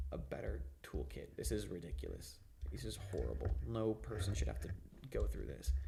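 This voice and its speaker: A man speaks at a very deep, low pitch with very wide pitch swings and vocal fry. His pace is moderate, and audible room echo surrounds the voice. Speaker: gaming streamer. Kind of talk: live gameplay commentary. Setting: live stream. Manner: casual, filler-heavy; stuttering, repeats words.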